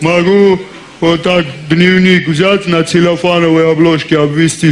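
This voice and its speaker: Light background noise sits under speech delivered very slowly. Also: man. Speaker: comedian in a sketch. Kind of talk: comedy sketch monologue. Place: stage. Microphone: headset.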